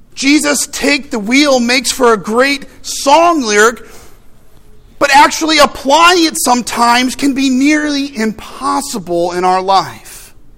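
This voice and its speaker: A man with an American accent, extremely high in pitch, talking at a fairly slow pace over noticeable background noise. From US Midwest. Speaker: pastor. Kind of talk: sermon.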